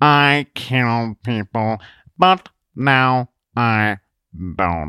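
A natural reading voice, varying its pitch in an ordinary way, sounds against a quiet background.

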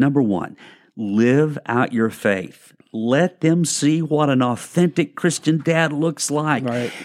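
Delivery is on the slow side. The audio is spotless, with total silence behind it. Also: man. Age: 60s. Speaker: pastor and podcast co-host. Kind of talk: casual chat with teaching.

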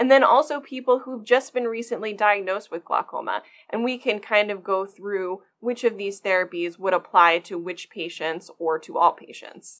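A woman with an American accent and an ordinary speaking voice talks at a moderate pace with hardly any pauses. Her pitch is medium with ordinary variation, and her loudness swings widely. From US, Maryland. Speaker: glaucoma fellow ophthalmologist. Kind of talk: medical podcast interview.

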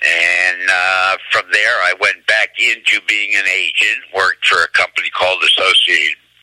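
A man's American accent at a moderate pace, with very even loudness and hardly any pauses, amid noticeable background noise. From New Jersey. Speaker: booking agency executive. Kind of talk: interview.

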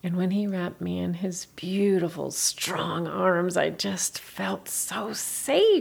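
Putting on a character voice, a woman speaks slowly at a fairly low pitch with vocal fry, a slightly husky edge and lively intonation.

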